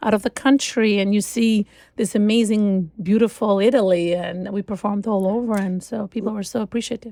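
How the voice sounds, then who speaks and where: In an Albanian accent, the speaker goes at a fairly quick pace with ordinary pitch variation, recorded very cleanly with a silent background and a dry, close sound with no echo. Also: woman. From Albania (Shkodra). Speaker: concert cellist. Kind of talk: interview conversation. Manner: halting, many fillers.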